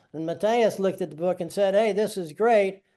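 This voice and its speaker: A man talks at a fairly quick pace in an American accent. His voice is high-pitched, with a dark, mellow tone and fairly even intonation. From United States. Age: 60s. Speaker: touring cyclist. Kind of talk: webinar presentation. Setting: online webinar. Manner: casual, talkative.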